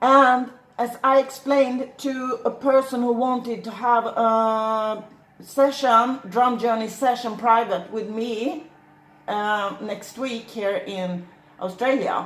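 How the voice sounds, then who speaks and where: A woman's fairly high voice, very slow and fairly even in intonation, with audible room echo. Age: 60s. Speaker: shaman. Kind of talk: monologue to camera. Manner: halting.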